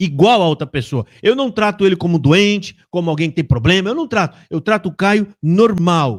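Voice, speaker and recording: Here a man speaks at a moderate pace with a high pitch. The sound is dry and close, with no echo. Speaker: YouTube live host, religious commentator. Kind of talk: heated live-stream rant. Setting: live stream. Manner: agitated, loud.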